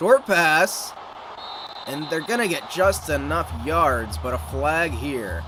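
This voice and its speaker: Music plays in the background as a man with an American accent speaks at a very slow pace. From United States. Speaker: gaming streamer. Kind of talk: live commentary. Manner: animated.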